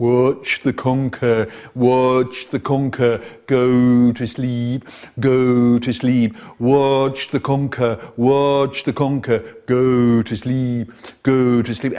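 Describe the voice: Using a put-on character voice, a man keeps a medium pitch and a monotone, flat intonation. He moves at a very slow pace.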